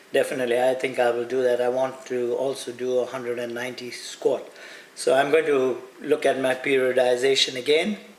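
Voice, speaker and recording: A man with a medium pitch speaks at a fairly quick pace over noticeable background noise. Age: 60s. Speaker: fitness coach. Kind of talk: motivational talk to camera. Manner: animated.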